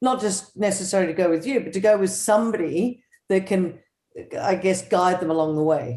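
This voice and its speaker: A woman with an Australian accent, medium pitch, ordinary pitch variation, a fairly quick pace and a dark, mellow tone. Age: 60s. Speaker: show host. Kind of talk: interview. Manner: casual.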